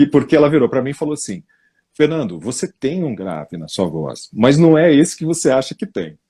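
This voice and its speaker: Vocal fry runs through this man's speech, which moves at a fairly quick pace with very wide pitch swings and big swings in loudness. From São Paulo state interior, Brazil. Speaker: voice-over narrator. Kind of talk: interview. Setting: live stream.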